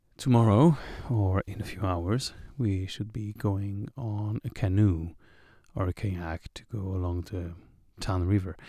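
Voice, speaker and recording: A quiet, somewhat breathy male voice with a French accent, a dark, mellow tone, a fairly low pitch, ordinary pitch variation and a fairly slow pace, in a very clean recording with a silent background. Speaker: hiker vlogger. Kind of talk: audio diary. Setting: in a tent at a campground.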